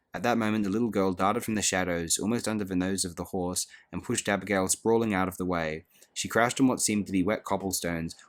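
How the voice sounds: The voice heard is a natural reading voice.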